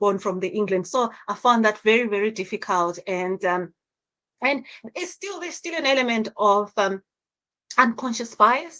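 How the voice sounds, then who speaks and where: A woman with a Zimbabwean accent at a moderate pace, fairly high in pitch, with lively intonation, a bright, sharp tone and big swings in loudness. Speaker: social worker. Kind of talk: interview. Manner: halting, many repetitions.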